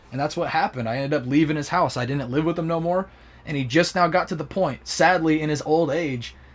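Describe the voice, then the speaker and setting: Talking at a very fast pace in an animated tone, a man with a fairly high pitch shows ordinary pitch variation. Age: 20s. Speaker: gaming streamer. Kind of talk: casual chat. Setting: live stream.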